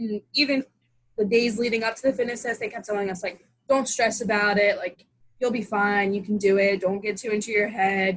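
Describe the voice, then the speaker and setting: A woman speaks at a fairly quick pace with fairly even intonation. Her fairly high voice is somewhat breathy. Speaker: college soccer goalkeeper. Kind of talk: interview answer.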